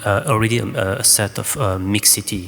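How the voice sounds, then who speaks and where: Over noticeable background noise, a man speaks at a moderate pace with a fairly low pitch and ordinary pitch variation. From France. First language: French. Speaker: choreographer. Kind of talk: panel discussion answer. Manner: halting.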